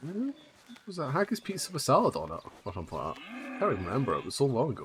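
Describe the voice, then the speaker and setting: A man with a Scottish accent speaks at a very fast pace. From Scotland. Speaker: game streamer. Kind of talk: casual chat.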